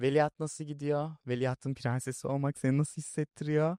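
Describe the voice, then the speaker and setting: A man with an unremarkable speaking voice, fairly high pitch, fairly even intonation and a moderate pace, in a dry, close sound with no echo. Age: 20s. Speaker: youtube interview host. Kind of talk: casual interview chat. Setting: studio.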